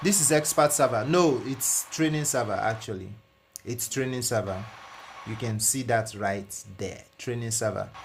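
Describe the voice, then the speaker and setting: A man with a non-native accent, lively intonation, and a moderate pace. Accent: noticeable non-native. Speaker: flight sim live streamer. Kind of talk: live stream chat. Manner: repetitive.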